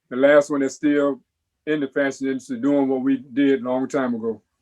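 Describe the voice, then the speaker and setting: This man talks at a very fast pace with a medium pitch and a monotone, flat intonation. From South Florida. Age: 60s. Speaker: menswear designer and model. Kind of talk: interview.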